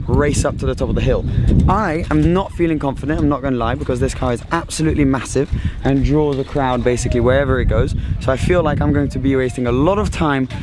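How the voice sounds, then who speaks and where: A man talks at a very fast pace with ordinary pitch variation, in a dry sound with no echo, over noticeable background noise. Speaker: car vlogger. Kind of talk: casual vlog chat. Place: street. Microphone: phone near.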